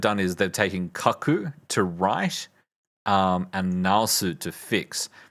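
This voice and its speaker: Speaking at a very slow pace, a man uses a fairly low pitch with ordinary pitch variation on a very clean recording with a silent background. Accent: Australian. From Australia. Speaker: streamer learning Japanese. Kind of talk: study livestream. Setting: livestream. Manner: halting.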